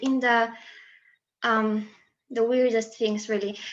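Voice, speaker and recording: A woman with a Polish accent speaks at a high pitch. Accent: Polish accent, new to Brazilian listeners. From Poland. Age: 20s. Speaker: student and presentation speaker. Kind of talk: presentation.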